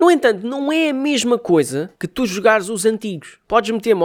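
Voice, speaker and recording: On a very clean recording with a silent background, a man speaks at a moderate pace in an animated tone with lively intonation. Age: 20s. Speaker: podcast host and music artist. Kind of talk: casual monologue.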